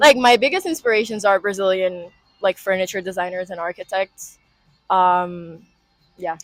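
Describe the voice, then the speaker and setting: Music in the background behind a moderate pace and ordinary pitch variation. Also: woman, medium pitch for a woman. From Rio de Janeiro, Brazil. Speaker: industrial design student. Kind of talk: interview answer. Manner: casual, hesitant.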